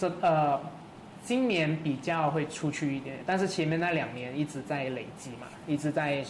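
This man talks at a moderate pace in a fairly high pitch with a plain, everyday voice. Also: ordinary pitch variation. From Malaysia, Kuala Lumpur. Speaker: singer-songwriter. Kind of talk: casual chat.

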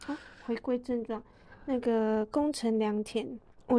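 Against a quiet background, a woman speaks at a moderate pace with a fairly high pitch and a dark, mellow tone. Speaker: podcast co-host. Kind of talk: casual chat.

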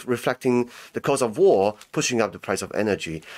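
Recorded very cleanly over a silent background, a plain, everyday voice moves at a fairly quick pace with ordinary pitch variation. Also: man. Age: young. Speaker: podcaster and commentator on international news. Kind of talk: casual chat.

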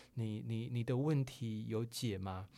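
In a very clean recording with a silent background, a man's dark, mellow voice holds a medium pitch and fairly even intonation. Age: 40s. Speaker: advertising director and writer. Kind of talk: interview. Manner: halting, many fillers.

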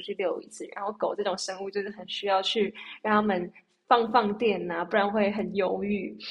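Medium in pitch, a woman talks at a fairly quick pace. Her intonation is monotone and flat. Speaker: singer. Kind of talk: casual chat.

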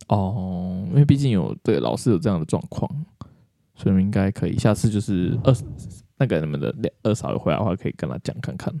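The speaker moves at a fairly quick pace, with vocal fry and very wide pitch swings. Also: man, fairly low pitch for a man. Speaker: podcast host. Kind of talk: casual chat.

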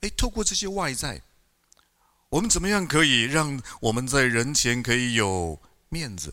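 A man's bright, sharp voice at a medium pitch with very wide pitch swings, a moderate pace and long, frequent pauses. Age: 50s. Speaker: pastor. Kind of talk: sermon. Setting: church. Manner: animated.

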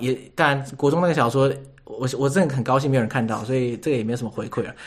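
A man talks very fast with a Taiwanese accent. His pitch sits fairly high. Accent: Taiwanese Mandarin. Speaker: podcast host. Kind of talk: casual interview chat.

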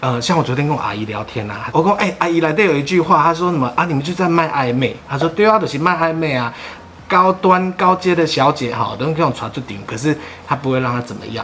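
Over noticeable background noise, a man with a fairly high voice talks very fast with lively intonation. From Taiwan, Sanchong (New Taipei). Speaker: podcast guest recalling family hostess-bar life. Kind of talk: casual interview chat.

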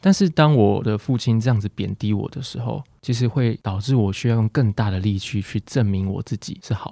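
A man's dark, mellow, fairly low voice moves at a fairly quick pace with hardly any pauses, the sound dry and close with no echo, in a very clean recording with a silent background. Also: ordinary pitch variation. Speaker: psychologist. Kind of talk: casual chat interview. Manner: warm, soothing.

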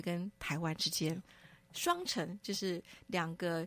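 A normal speaking voice in a very clean recording with a silent background. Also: woman. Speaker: author and curator. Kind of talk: radio interview.

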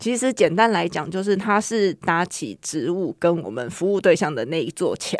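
A woman's fairly low voice with vocal fry, lively intonation and hardly any pauses. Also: moderate pace, very clean recording, silent background. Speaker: horticultural therapist. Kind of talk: interview.

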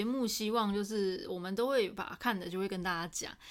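At a moderate pace, a woman speaks in a normal speaking voice with ordinary pitch variation, in a very clean recording with a silent background. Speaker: podcast host. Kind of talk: casual chat.

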